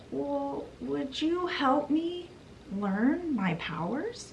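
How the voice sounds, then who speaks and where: There is clear background noise. A woman speaks in a put-on character voice at a very slow pace. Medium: solo performance.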